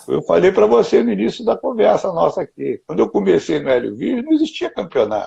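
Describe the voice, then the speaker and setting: Hardly pausing at all, a man moves along at a fairly quick pace. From Rio de Janeiro, Brazil. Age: 60s. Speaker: jiu-jitsu grandmaster. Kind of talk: interview. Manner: animated.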